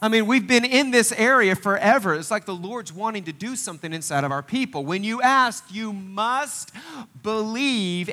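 In an American accent, a man with a high pitch speaks in a raised, projected voice, his tone animated, bright and sharp and his intonation lively. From Northeast Oklahoma. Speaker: pastor. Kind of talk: sermon. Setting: church.

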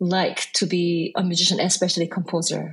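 A woman speaks with a Korean accent. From South Korea; Busan and Seoul. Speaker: jazz composer and bandleader. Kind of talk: interview conversation.

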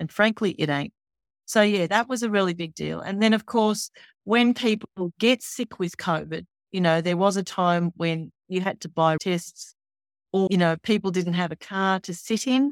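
Speaking with an Australian accent at a moderate pace, a woman has a medium pitch and ordinary pitch variation, in a dry, close sound with no echo on a very clean recording with a silent background. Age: 60s. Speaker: university executive and health professor. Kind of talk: interview.

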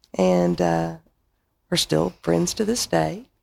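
Delivered at a very slow pace in an Arkansas accent, the speech comes on a very clean recording with a silent background. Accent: Southern US (Arkansas). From Arkansas (Paragould). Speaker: bar owner. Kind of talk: casual interview.

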